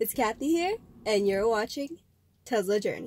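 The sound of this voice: Speaking at a moderate pace, a woman has a fairly high, nasal voice with a slightly mellow tone and lively intonation.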